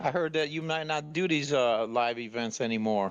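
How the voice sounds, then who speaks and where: Speaking fairly quickly with lively intonation, a man talks in an American accent. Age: 60s. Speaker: caller. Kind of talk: casual chat.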